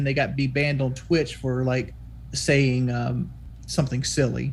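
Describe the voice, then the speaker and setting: A man with a Southern US accent. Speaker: YouTuber and streamer. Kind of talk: podcast interview.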